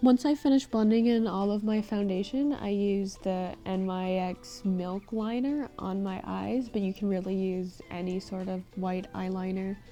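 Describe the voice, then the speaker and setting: The speaker goes at a fairly slow pace with hardly any pauses and ordinary pitch variation. Music plays in the background. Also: woman, medium pitch for a woman. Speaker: makeup tutorial creator. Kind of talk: tutorial voice-over.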